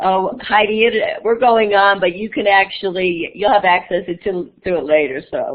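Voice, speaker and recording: Speaking with an unremarkable speaking voice, a woman at medium pitch keeps a moderate pace, lively intonation and hardly any pauses. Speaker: educator and conference presenter. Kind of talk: online conference presentation.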